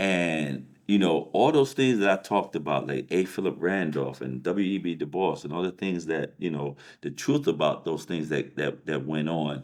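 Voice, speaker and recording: At a moderate pace, a man with an American accent speaks in a very deep, low pitch with vocal fry and ordinary pitch variation. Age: 50s. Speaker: life coach. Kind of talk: casual chat. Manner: halting, many fillers and repeats.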